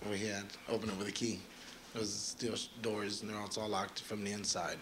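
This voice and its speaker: A man's fairly low, monotone voice at a very fast pace, flat in intonation, with audible room echo. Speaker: tow truck driver, trial witness. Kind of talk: courtroom testimony. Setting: courtroom. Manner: soft-spoken.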